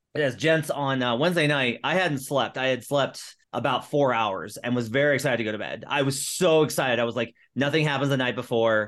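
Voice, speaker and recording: A man talks at a fairly quick pace in an ordinary speaking voice, his pitch medium. His pitch variation is ordinary. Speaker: podcast host and NBA writer. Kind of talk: casual sports-betting podcast chat. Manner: upbeat, chatty.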